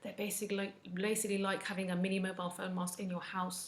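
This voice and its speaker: In a room with audible echo, a woman talks at a fairly quick pace with monotone, flat intonation. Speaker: wellness vlogger, mental health nurse. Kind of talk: casual advice talk to camera. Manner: occasional stumbling over words.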